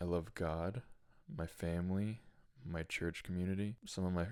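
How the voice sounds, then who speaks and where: With a Michigan accent, a man speaks at a very deep, low pitch with monotone, flat intonation. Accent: US Midwest (Michigan) English. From Michigan, US Midwest. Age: 20s. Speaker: podcast host. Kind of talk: personal testimony monologue.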